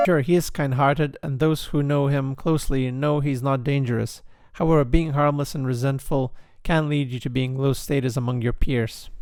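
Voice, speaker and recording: A man's fairly high voice in a monotone, flat intonation. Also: moderate pace. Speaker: video essayist. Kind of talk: character analysis narration. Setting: home recording, cheap microphone.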